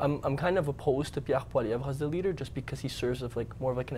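With vocal fry and a very fast pace, a man speaks over light background noise. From Canada. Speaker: political science student; guest. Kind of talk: panel discussion. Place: studio. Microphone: lapel.

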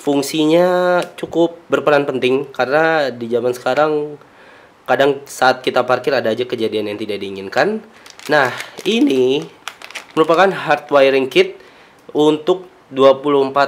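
The pace is fairly slow. A man speaks with ordinary pitch variation. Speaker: car vlogger. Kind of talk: product unboxing commentary. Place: home room.

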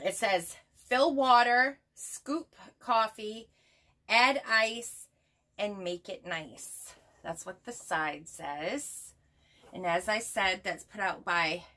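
Speaking at a very slow pace, a woman uses a bright, sharp tone and lively intonation, with big swings in loudness. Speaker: haul vlogger. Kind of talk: casual vlog chat. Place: home room.

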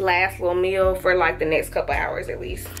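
Faint music sits behind a woman as she talks. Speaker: expectant mother vlogger. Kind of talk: casual vlog chat. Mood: emotional, anticipating hospital birth. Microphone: phone near.

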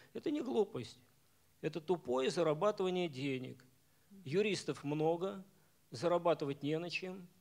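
Here a man speaks with a high pitch and ordinary pitch variation. He leaves long, frequent pauses. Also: moderate pace. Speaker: professor and club moderator; club moderator. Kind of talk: lecture. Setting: bookstore stage with audience. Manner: halting, many fillers. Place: hall. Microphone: podium.

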